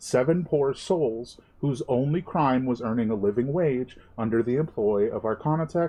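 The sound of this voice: The voice reading here is an unforced one.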